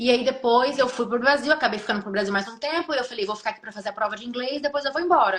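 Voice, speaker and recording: A woman races along at a very fast pace with a high pitch, hardly any pauses and big swings in loudness. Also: ordinary pitch variation. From Brazil, Espírito Santo. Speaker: nurse. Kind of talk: interview on a live stream. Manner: swallows words.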